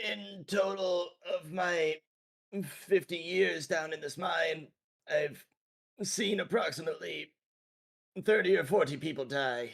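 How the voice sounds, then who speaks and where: A man puts on a raspy character voice, high-pitched for a man. He talks at a fairly slow pace with long, frequent pauses. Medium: game stream. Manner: hesitant, evasive.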